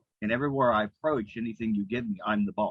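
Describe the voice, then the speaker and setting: A man with a plain, everyday voice, the sound dry and close with no echo. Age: 60s. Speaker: self-employed commission earner. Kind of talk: group call sharing.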